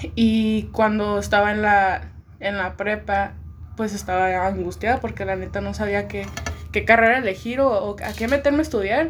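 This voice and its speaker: The pace is moderate, and the speech carries audible room echo. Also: woman. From Tijuana, Mexico. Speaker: music composition student. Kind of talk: casual chat.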